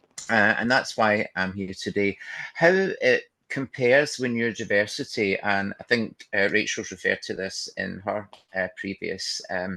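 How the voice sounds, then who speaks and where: A man talks at a moderate pace in a Glaswegian accent. The background is quiet. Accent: Glaswegian Scottish. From Scotland, Glasgow. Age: 60s. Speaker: trainer and counsellor. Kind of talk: webinar presentation.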